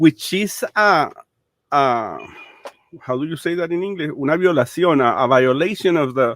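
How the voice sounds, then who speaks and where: A man with a Spanish accent and a fairly high pitch talks at a moderate pace, with ordinary pitch variation and long, frequent pauses. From Venezuela. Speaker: political commentator. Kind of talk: interview. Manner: halting, many fillers and repetitions.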